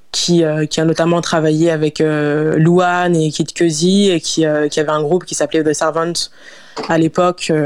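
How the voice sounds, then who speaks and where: This woman talks at a moderate pace in a very deep, low pitch with a monotone, flat intonation. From France, Lyon. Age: 20s. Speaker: singer. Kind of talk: interview. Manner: halting.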